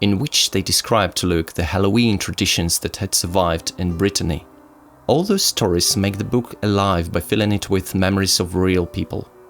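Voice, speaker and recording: Music plays behind a man speaking at a fairly quick pace with a Russian accent. His pitch is very deep and low, with ordinary pitch variation. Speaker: YouTuber reviewing druidry books. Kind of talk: book review. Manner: formal.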